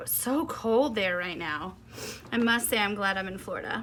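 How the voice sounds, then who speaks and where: In a Southern US accent, the upbeat voice has a bright, sharp tone, vocal fry, ordinary pitch variation and a moderate pace. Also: woman. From US South. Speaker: quilting and embroidery instructor. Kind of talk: tutorial. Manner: chatty, upbeat.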